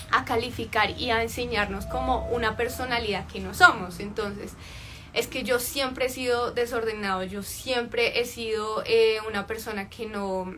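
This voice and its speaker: A woman speaks at a fairly slow pace over noticeable background noise. Her pitch is fairly high, and her intonation stays fairly even. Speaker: life coach. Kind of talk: livestream talk.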